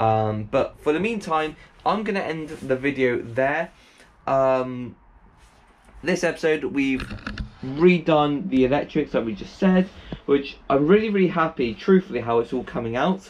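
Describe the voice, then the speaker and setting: A man speaks at a fairly slow pace with lively intonation and long, frequent pauses. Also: fairly high pitch for a man. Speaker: DIY van conversion vlogger. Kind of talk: tutorial walkthrough. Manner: halting, many fillers.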